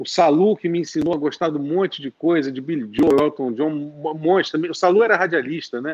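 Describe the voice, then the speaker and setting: An ordinary speaking voice from a man, fairly high in pitch, with ordinary pitch variation, a fairly quick pace and hardly any pauses. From Brazil, Rio de Janeiro. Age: 40s. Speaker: rock musician. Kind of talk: casual chat. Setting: live stream.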